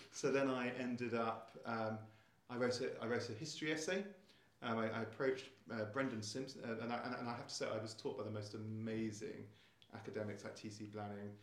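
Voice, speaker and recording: With a southern English accent, a man talks at a fairly quick pace and medium pitch, his intonation fairly even. Noticeable background noise and audible room echo fill the recording. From southern England (Surrey, Essex). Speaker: school headmaster. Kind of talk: interview. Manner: halting, with frequent repetitions.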